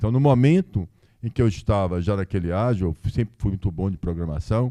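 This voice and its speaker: The voice has a dark, mellow tone and ordinary pitch variation, moving at a fairly quick pace in a dry, close sound with no echo. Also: man, fairly low pitch for a man. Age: 60s. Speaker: businessman and lawyer. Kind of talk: live podcast interview. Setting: stage with audience.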